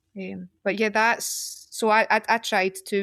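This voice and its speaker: Speaking with a Glaswegian accent at a moderate pace, a woman is heard in dry, close sound with no echo on a very clean recording with a silent background. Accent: Glaswegian Scottish. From Scotland, Glasgow. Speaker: poet. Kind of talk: casual chat.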